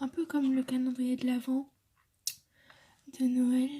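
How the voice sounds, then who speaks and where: A woman's voice, high in pitch, carries a gentle tone. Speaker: ASMR content creator. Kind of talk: ASMR soft-spoken talk to camera. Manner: soft-spoken, gentle, intimate, repeating words.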